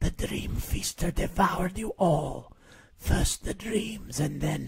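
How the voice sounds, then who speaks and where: Putting on a raspy character voice pitched fairly high, a man talks at a fairly slow pace. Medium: read story.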